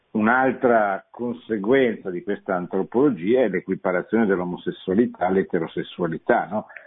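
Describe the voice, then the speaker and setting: A man's fairly low voice with lively intonation at a moderate pace, with hardly any pauses. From Italy, Milan. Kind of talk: radio lecture with call-ins. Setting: studio. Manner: halting, with frequent repetitions.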